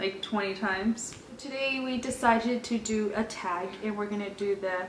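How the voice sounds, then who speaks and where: A woman with an American accent, fairly high pitch, fairly even intonation and a fairly slow pace, against noticeable background noise. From California (Orange, Anaheim). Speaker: lifestyle vlogger. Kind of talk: casual chat.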